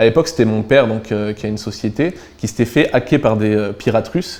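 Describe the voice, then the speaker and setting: With a southern French accent, a man speaks at a very fast pace. His tone is dark and mellow, at a medium pitch with ordinary variation. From southern France, near Avignon. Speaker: crypto entrepreneur. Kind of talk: casual interview. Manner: hesitant, many fillers.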